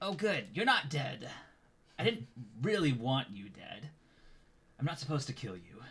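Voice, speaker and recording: Using a put-on character voice, a man talks at a fairly high pitch and a moderate pace. He leaves long, frequent pauses. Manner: relieved, offhand.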